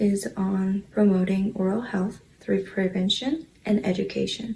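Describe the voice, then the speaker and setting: Somewhat breathy and dark, mellow in tone, a woman speaks at a fairly slow pace with medium pitch and fairly even intonation. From South Korea. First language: Korean. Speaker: scholarship recipient, dental hygiene student. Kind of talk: prepared speech. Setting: luncheon with audience.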